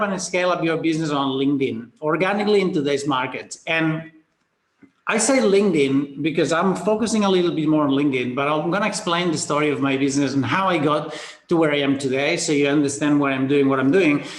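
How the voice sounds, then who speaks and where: A man speaks with a Spanish accent and lively intonation. Room echo is audible. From Spain. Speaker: business coach. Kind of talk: webinar presentation. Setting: video call. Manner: casual, hesitant.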